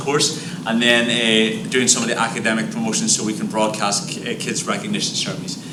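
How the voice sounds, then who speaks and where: A man with an Irish accent at a fairly quick pace, with audible room echo and noticeable background noise. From Ireland. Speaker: high school teacher. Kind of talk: presentation at board meeting.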